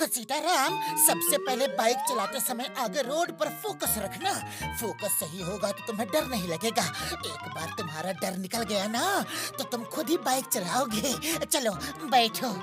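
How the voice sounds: A cartoonish character voice with a fairly high pitch goes at a moderate pace over loud music in the background.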